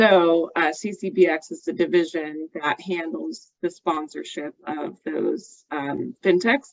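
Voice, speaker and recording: At a very slow pace, a woman talks in a fairly low pitch. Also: ordinary pitch variation, hardly any pauses. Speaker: bank executive. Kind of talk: panel discussion.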